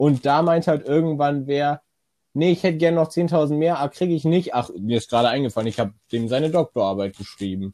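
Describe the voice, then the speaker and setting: The man's voice sits at a fairly high pitch and has a dark, mellow tone. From Rhineland, near Cologne. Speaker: podcast co-host. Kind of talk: casual chat.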